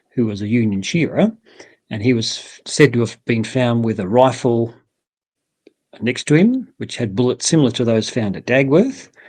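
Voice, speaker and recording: The speaker has an Australian accent, with ordinary pitch variation and big swings in loudness. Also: man, medium pitch for a man, moderate pace. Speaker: bush poet. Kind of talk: interview answer.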